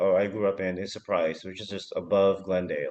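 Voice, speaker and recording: In an unremarkable speaking voice with an American accent, a man talks at a moderate pace with fairly even intonation. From Arizona, US. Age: 30s. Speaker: founder of a Filipino news media organization. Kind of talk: casual chat.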